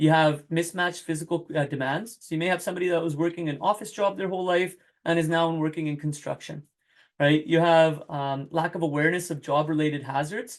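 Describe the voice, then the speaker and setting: A man talks at a very fast pace in a high pitch with fairly even intonation. The background is quiet. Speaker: workplace safety consultant. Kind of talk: webinar presentation. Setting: online webinar. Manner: halting.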